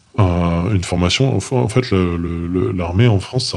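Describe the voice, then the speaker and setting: Speech comes at a fairly slow pace over noticeable background noise. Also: man. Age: 20s. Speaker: former special forces soldier. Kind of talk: interview testimony. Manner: halting, with many fillers and repetitions.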